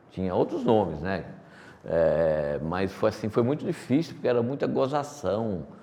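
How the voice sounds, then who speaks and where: A man with a dark, mellow tone and medium pitch speaks at a fairly slow pace, with vocal fry and very wide pitch swings. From Brazil, Paraíba sertão (Pombal), moved to São Paulo as child. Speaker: company executive. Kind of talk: interview.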